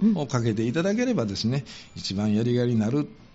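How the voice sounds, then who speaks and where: His pitch swinging very widely, a man speaks at a fairly quick pace. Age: 50s. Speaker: volunteer firefighter and public servant. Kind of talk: radio interview. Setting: radio studio.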